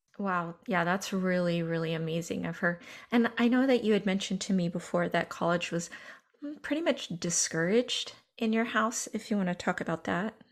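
A woman with an ordinary speaking voice talks at a fairly quick pace, her medium pitch showing ordinary pitch variation. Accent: American. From Northern California. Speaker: podcast producer and interviewer. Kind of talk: casual interview conversation.

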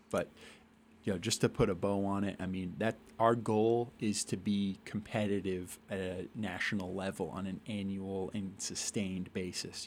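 In an American accent, a man speaks at a moderate pace and fairly low pitch with monotone, flat intonation, on a very clean recording with a silent background. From Massachusetts (Worcester area). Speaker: college athletics administrator. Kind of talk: interview.

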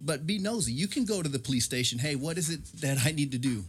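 An American-accented man talks at a very fast pace. His voice is somewhat breathy and fairly high in pitch. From San Diego, California. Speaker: police officer. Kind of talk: casual chat.

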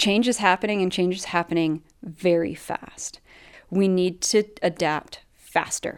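In a Canadian accent, a woman uses an ordinary speaking voice at a fairly slow pace with fairly even intonation. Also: medium pitch for a woman. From Canada. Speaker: rural development researcher. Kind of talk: interview. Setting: video call.

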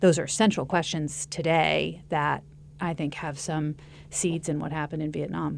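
A woman with an American accent, a very deep, low pitch, and vocal fry, at a moderate pace with fairly even intonation. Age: 40s. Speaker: documentary producer. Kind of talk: interview.

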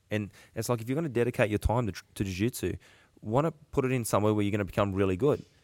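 In a very clean recording with a silent background, a man with an Australian accent speaks at a fairly low pitch with ordinary pitch variation. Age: 30s. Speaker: podcast host, jiu-jitsu coach. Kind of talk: casual chat. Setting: gym.

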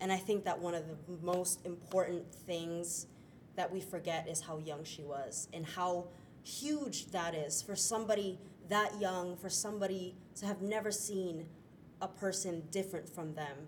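With an American accent, the voice moves at a fairly slow pace with ordinary pitch variation, over noticeable background noise and audible room echo. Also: woman, fairly low pitch for a woman. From Florida, US. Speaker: stage actor. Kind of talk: interview. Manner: hesitant with fillers.

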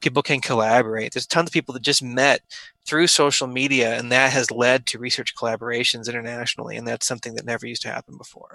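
A man at medium pitch, very fast and monotone, with flat intonation and a bright, sharp tone. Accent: Midwestern American. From US Midwest, Omaha, Nebraska. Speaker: surgeon. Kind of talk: interview.

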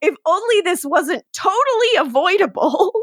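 A woman adopts a put-on character voice pitched extremely high. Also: moderate pace. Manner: through gritted teeth, sardonic.

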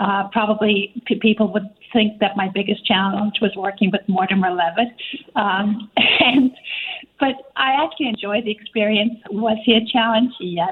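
A woman's moderate-paced voice with fairly even intonation and very even loudness, over noticeable background noise. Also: medium pitch for a woman. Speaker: arts center executive director. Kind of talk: radio interview. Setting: phone call.

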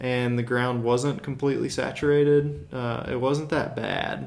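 Through noticeable background noise, a man with an American accent speaks at a fairly slow pace in a fairly high voice. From US South, Birmingham, Alabama. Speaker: amateur cyclist. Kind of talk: casual chat. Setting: at home.

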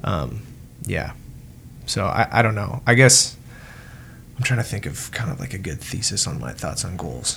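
With vocal fry and a fairly low pitch, a man speaks at a moderate pace, using very wide pitch swings and long, frequent pauses. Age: 20s. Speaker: podcast co-host. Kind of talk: casual chat.

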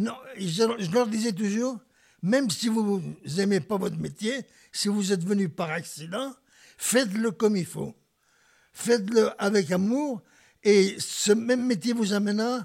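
At a very slow pace with long, frequent pauses, a man talks in a high pitch with ordinary pitch variation. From Spain (Barcelona area), then central France. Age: 80s+. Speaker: retired Spanish teacher and former refugee. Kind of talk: personal life testimony. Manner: halting, with many hesitations.

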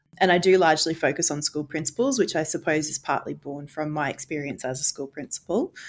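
At a very fast pace, a woman with an Australian accent talks in a very deep, low voice with ordinary pitch variation. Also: hardly any pauses. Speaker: education researcher, former school principal. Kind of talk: interview.

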